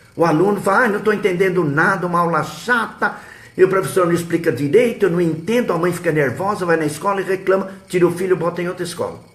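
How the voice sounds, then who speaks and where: Audible room echo surrounds a man's high-pitched voice. He speaks at a fairly quick pace. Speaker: history teacher and web radio host. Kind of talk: live stream advice talk. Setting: live web broadcast.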